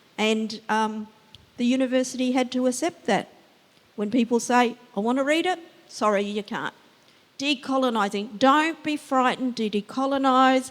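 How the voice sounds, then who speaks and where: At a moderate pace, a woman with a high pitch talks with ordinary pitch variation. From Western Australia (Yamaji, Geraldton region). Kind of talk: panel discussion.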